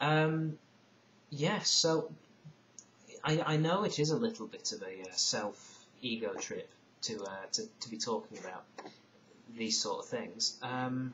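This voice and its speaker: A man speaks with a northern English accent at a fairly slow pace, his pitch fairly high and swinging very widely. Long, frequent pauses break up his speech, and noticeable background noise runs underneath. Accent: broad northern English, mistaken for Irish. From northern England (Lake District, Isle of Man). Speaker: video blogger. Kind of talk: casual vlog monologue. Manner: hesitant, many fillers and repetitions.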